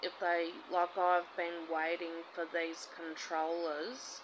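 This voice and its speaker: Over noticeable background noise, a woman speaks very slowly in a fairly low pitch. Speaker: vlogger. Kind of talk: casual vlog chat. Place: home room. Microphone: phone near.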